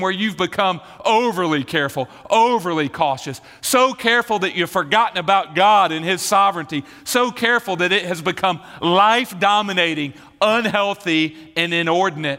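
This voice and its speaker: Speaking in a raised, projected voice with a Southern US accent, a man with a high pitch keeps a moderate pace and ordinary pitch variation. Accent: Southern American. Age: 40s. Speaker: pastor. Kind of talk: sermon. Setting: church.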